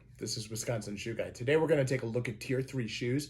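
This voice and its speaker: Some breathiness runs through this man's voice. His medium pitch carries fairly even intonation. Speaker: YouTube shoe reviewer. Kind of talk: product review. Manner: mumbling; hesitant, many fillers.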